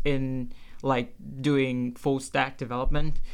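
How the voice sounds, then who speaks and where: The speaker has a Vietnamese accent. The pace is fairly slow. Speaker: computer science student. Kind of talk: interview. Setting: studio. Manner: halting.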